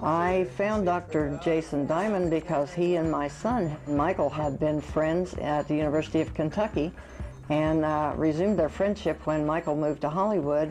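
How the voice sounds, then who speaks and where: Music plays in the background while a woman speaks. Her voice is very deep and low in pitch, with very even loudness. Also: ordinary pitch variation, moderate pace. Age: 60s. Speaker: plastic surgery patient. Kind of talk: personal testimony.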